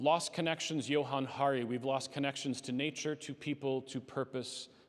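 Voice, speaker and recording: A man with a Canadian accent talks at a fairly high pitch with fairly even intonation over noticeable background noise. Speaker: speaker and therapist. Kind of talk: conference talk. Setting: conference breakout session. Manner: fast.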